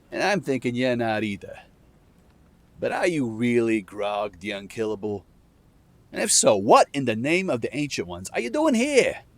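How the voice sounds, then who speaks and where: Putting on a gruff character voice at medium pitch, a man speaks at a moderate pace with long, frequent pauses. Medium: read story. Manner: blunt, wry, commanding.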